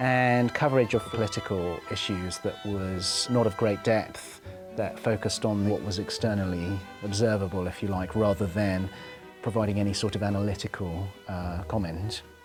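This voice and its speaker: Over music in the background, a man with a fairly low voice speaks at a moderate pace with fairly even intonation. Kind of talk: interview answer.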